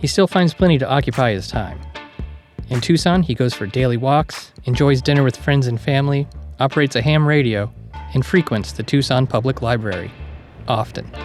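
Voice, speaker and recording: Over music in the background, a man talks at a fairly quick pace with lively intonation and medium pitch. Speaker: narrator. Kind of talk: documentary narration.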